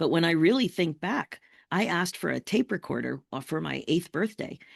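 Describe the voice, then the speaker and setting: Against a quiet background, a woman speaks at a fairly quick pace with vocal fry. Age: 60s. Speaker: life coach. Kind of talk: interview conversation.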